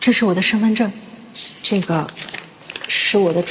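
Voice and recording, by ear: Natural-voiced reading aloud.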